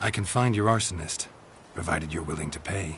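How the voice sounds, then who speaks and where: Put-on character voice in a deadpan tone at a fairly quick pace, with clear background noise. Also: man, very deep, low pitch for a man. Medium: video game. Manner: deadpan, laconic.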